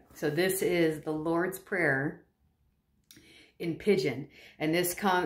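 Audible room echo surrounds a woman speaking at a fairly slow pace, her fairly low pitch showing ordinary variation. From Hawaii. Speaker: content creator. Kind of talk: casual chat. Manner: amused, prone to laughing. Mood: amused, lighthearted. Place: home room. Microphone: phone near.

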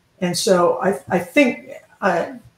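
A woman's slow, lively-intoned speech with audible room echo. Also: fairly low pitch for a woman.

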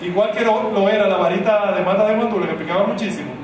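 A high-pitched man's voice at a moderate pace, with audible room echo and noticeable background noise. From Dominican Republic. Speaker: stand-up comedian. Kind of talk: stand-up comedy routine. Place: stage.

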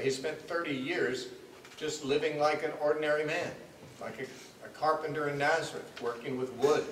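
A man speaks with audible room echo. Light background noise sits underneath. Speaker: teacher. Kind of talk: lecture. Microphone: podium.

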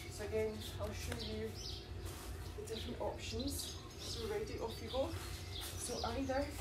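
A woman talks at a moderate pace. Loud background noise sits behind her voice. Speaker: fitness instructor. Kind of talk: live workout instruction. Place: garden.

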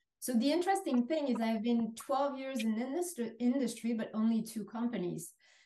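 Audible room echo surrounds a woman whose high, dark, mellow voice moves with lively intonation at a fairly quick pace. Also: hardly any pauses. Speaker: marketing executive. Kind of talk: interview. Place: home room. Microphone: webcam.

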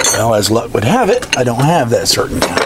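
A man talks while clearly audible noise fills the background. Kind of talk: casual tutorial commentary. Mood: jokey, self-deprecating. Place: farm machine.

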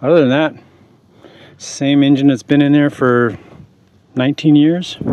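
Delivered at a moderate pace with fairly even intonation, a man's voice has a dry sound with no echo. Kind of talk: casual walkthrough commentary. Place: garden. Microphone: phone near.

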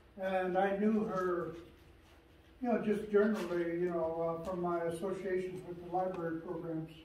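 Over light background noise and audible room echo, a man with an American accent speaks at a moderate pace in a high, monotone, flat voice. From Western Washington, Chehalis reservation. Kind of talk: oral history talk to a live audience. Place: hall. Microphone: camera far.

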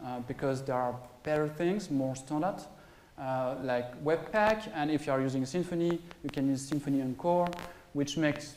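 At a moderate pace and with ordinary pitch variation, a man talks over light background noise. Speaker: conference presenter. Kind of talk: technical talk. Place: hall.

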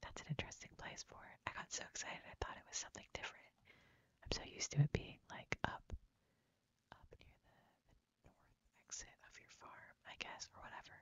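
Whispering and soft-spoken, a woman talks at a fairly quick pace with big swings in loudness. The sound is dry, with no echo. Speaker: gameplay streamer. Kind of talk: casual game commentary. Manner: soft close-mic ASMR whisper.

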